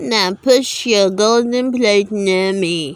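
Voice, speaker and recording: Putting on a character voice, a woman speaks at a very slow pace with a medium pitch. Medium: read story. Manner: insistent.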